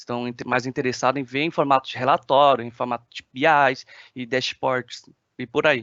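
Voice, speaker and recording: A man at medium pitch with monotone, flat intonation, a moderate pace and big swings in loudness. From China. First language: Chinese (speaking Portuguese). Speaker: application engineer. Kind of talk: webinar presentation. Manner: hesitant, many filler sounds.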